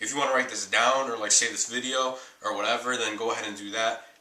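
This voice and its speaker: A man talks at a very fast pace and a medium pitch, his intonation monotone and flat. Noticeable background noise is present. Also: big swings in loudness. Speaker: fitness youtuber. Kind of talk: casual vlog tutorial. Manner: casual, filler-heavy.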